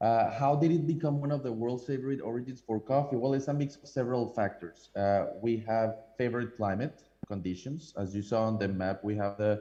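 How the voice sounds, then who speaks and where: A man talks at a fairly quick pace with a Colombian accent. His pitch varies in an ordinary way, and there is noticeable background noise. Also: medium pitch for a man. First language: Spanish. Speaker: coffee importer. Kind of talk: presentation with slides. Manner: hesitant with many fillers.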